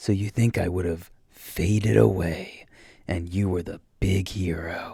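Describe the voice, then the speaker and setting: A man uses a put-on character voice at a very deep, low pitch. He delivers it at a fairly slow pace. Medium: read story. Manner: mocking, casual menace.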